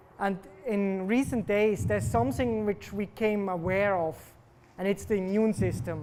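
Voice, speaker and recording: A man with a Swiss German accent speaks in a high voice with ordinary pitch variation. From German-speaking Switzerland. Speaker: cancer researcher. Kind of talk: popular science talk.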